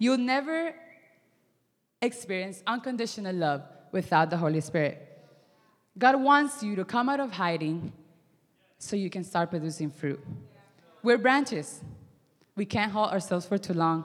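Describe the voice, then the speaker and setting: A woman with a non-native accent at medium pitch, moderate pace, very wide pitch swings and long, frequent pauses. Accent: foreign-accented English. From Miami. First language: not English. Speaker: youth ministry intern. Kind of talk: sermon. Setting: stage with audience. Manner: hesitant, many fillers.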